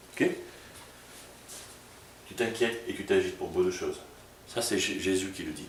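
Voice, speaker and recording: Noticeable background noise and audible room echo accompany a man who speaks with a slight southern French accent. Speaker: pastor. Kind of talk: sermon. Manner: casual, conversational; fast.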